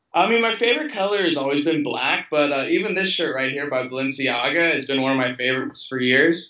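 With an American accent, a man of fairly high pitch talks at a fairly quick pace with hardly any pauses and ordinary pitch variation, in audible room echo. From Louisville, Kentucky, USA. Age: 20s. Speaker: fashion model. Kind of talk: interview answer. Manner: casual, relaxed. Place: home room. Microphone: video call.

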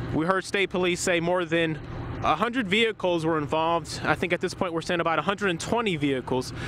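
Noticeable background noise sits behind a man with a high pitch. He talks at a moderate pace with ordinary pitch variation. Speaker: field news reporter. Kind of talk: live on-scene TV news report. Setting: outdoors at crash scene, windy. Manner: urgent, fluent, serious.

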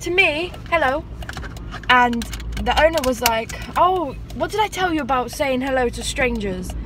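The speaker uses a raised, projected voice with lively intonation at a moderate pace, in a dry sound with no echo and noticeable background noise. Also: woman. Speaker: vlogger. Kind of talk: casual vlog chat. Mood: chatty, amused. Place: car. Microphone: phone near.

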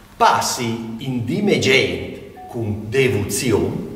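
Room echo is audible as a man speaks at a very slow pace. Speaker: amateur stage actor. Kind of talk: dialect poetry narration. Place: home room.

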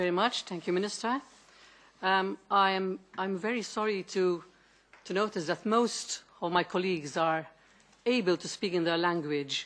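With a Maltese accent, a woman speaks at a moderate pace with ordinary pitch variation. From Malta. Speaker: member of European Parliament. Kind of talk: committee hearing question. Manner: halting. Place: meeting room. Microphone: podium.

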